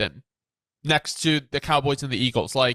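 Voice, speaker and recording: A man's bright, sharp tone at a fairly slow pace, dry and close with no echo. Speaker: football commentator. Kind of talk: casual chat.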